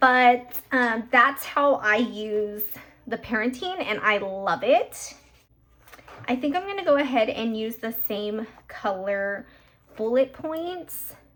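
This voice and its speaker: Over noticeable background noise, a woman with a fairly high pitch speaks very slowly, her intonation lively. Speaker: planner vlogger. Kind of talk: casual talk to camera while crafting. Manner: a little hyper.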